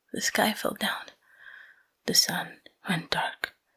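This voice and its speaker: Someone soft-spoken whispers at a fairly slow pace. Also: woman. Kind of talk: ASMR sleep story roleplay. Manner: whispered, soft-spoken.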